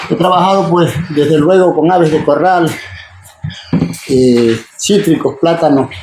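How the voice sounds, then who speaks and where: Against noticeable background noise, a high-pitched man speaks at a fairly slow pace with long, frequent pauses, very even loudness and ordinary pitch variation. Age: 60s. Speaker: farmer. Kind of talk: casual talk to students.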